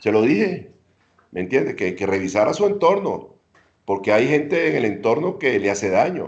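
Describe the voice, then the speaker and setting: Very wide pitch swings from a man speaking at a moderate speed. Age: 70s. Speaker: former minister and ambassador. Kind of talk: interview.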